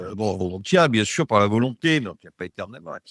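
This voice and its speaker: A man's fairly low voice moves at a moderate pace with lively intonation. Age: 60s. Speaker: program participant giving testimonial, engineer. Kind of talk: testimony. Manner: halting, many hesitations and repetitions.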